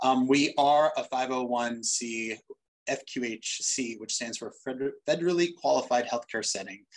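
A normal speaking voice from a man with an American accent, medium in pitch with ordinary pitch variation. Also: quiet background. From Boston, US. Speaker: doctor and medical research director. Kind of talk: webinar panel discussion. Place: office. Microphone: video call.

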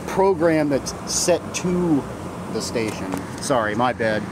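Speech comes at a very slow pace in a dry sound with no echo, with noticeable background noise behind it. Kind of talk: tutorial. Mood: casual, self-deprecating. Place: factory. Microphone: phone near.

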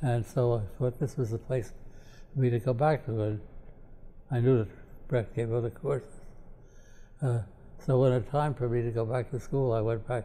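With an American accent, a man speaks at a moderate pace in a dark, mellow, somewhat breathy tone, his intonation fairly even and his pauses long and frequent. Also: medium pitch for a man. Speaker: political philosopher; professor emeritus interviewee. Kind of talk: interview. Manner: halting. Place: home room.

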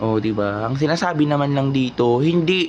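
Noticeable background noise runs through the clip. The pitch varies in an ordinary way. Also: man. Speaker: vlogger reacting to news. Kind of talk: casual commentary. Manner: animated.

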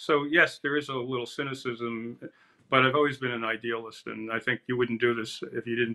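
A man speaks with an American accent at a fairly quick pace. His intonation is monotone and flat, over a quiet background. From New Jersey. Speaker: environmental activist. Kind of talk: panel discussion. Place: home room. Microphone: webcam.

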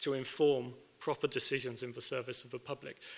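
A man speaks at a moderate pace with a fairly bright tone and some vocal fry.

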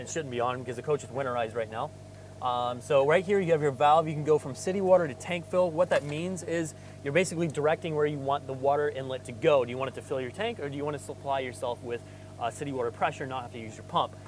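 A man talks at a very fast pace with ordinary pitch variation. The sound is dry with no echo, and there is light background noise. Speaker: RV salesperson. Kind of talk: casual walkaround tutorial. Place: street.

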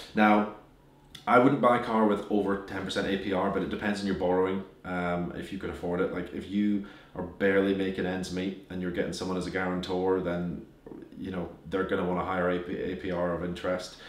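Delivered at a fairly quick pace with fairly even intonation, the speech carries audible room echo. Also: man, very deep, low pitch for a man. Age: 20s. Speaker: business owner giving finance advice; finance YouTuber. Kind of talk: casual, occasional swearing. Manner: fast talker. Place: home room.

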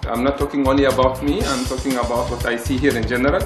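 Over faint background music, a man at medium pitch talks fast with little pitch movement.

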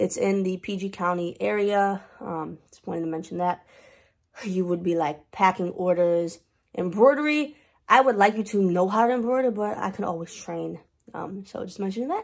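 A woman's voice at a moderate pace with ordinary pitch variation and big swings in loudness, against a quiet background. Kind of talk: casual vlog chat. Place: office. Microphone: webcam.

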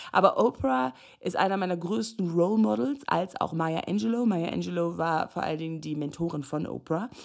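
The voice moves at a moderate pace with lively intonation and an animated tone, in a very clean recording with a silent background. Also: woman, fairly low pitch for a woman. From Namibia. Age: 30s. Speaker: life and relationship coach. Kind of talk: solo podcast talk.

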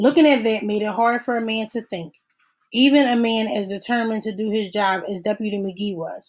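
Against a quiet background, the speaker does plain reading aloud with fairly even intonation.

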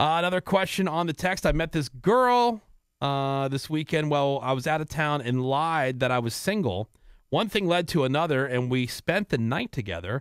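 A man's plain, everyday voice, fairly high in pitch with lively intonation and a moderate pace, in a dry sound with no echo and a quiet background. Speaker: radio host. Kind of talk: casual chat. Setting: studio. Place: studio. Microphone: studio mic.

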